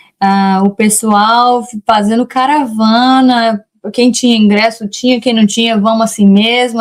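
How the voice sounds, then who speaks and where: The speaker talks at a fairly slow pace in a monotone, flat intonation. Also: woman. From Brazil, Rondônia. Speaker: immigration lawyer. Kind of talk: interview. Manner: halting, with many self-corrections.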